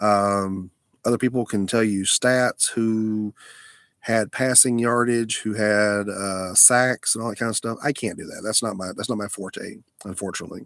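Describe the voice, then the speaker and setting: A man with a Southern US accent and a fairly low pitch, moderate pace and fairly even intonation, in a dry, close sound with no echo on a very clean recording with a silent background. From Alabama, US South. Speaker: live streamer. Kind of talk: casual live stream chat. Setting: mobile live stream, lying down. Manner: halting, many fillers.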